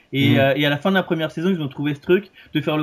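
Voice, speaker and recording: Ordinary pitch variation shapes a man's fairly high voice. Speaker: screenwriter and TV critic. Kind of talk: casual chat. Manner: halting, many repeated words.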